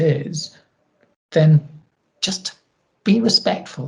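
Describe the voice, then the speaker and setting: Somewhat breathy and dark, mellow in tone, a woman speaks with a Scottish accent. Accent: Scottish twang. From Scotland. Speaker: equality and inclusion advisor. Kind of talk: interview.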